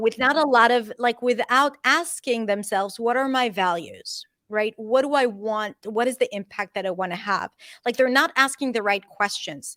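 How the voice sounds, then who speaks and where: This woman has a plain, everyday voice with a fairly high pitch and ordinary pitch variation. She speaks at a moderate pace, and the sound is dry and close with no echo. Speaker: accent and pronunciation coach. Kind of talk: interview answer.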